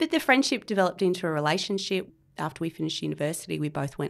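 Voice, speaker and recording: A woman with an Australian accent, a very deep, low pitch and ordinary pitch variation, at a very fast pace on a very clean recording with a silent background. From Australia, Canberra. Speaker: architect. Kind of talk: interview.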